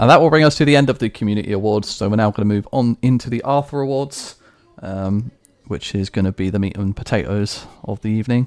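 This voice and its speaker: Speaking at a very fast pace, a man uses a fairly low pitch with ordinary variation. He has a British accent. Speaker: esports league award show host. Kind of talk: live stream award show. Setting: live Twitch stream.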